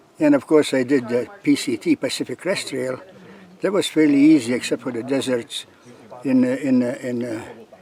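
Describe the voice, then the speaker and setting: Against noticeable background noise, a man talks at a moderate pace in a medium pitch with ordinary pitch variation. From Lithuania. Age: 80s+. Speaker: long-distance hiker. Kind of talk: interview. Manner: halting, many fillers and repeats.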